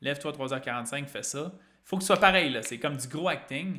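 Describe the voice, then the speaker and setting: Bright and sharp in tone, a man with a Quebec accent speaks at a moderate pace and fairly high pitch, his intonation lively. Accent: Québécois French. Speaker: fitness and weight-loss coach. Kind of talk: live-streamed talk to an online group.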